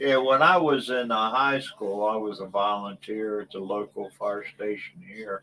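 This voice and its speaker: Over noticeable background noise, a man speaks fairly slowly at a fairly low pitch. His pitch variation is ordinary. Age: 60s. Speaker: livestream guest. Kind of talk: casual chat.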